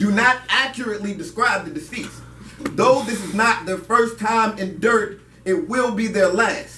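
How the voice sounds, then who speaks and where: A moderate pace amid noticeable background noise. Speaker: spoken word poet performing at an open mic. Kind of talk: spoken word poetry performance. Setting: live open mic venue with audience.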